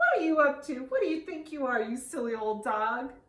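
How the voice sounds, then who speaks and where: A put-on character voice, female-sounding and high-pitched, delivers lines at a fairly quick pace. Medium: read story. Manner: chuckling, teasing.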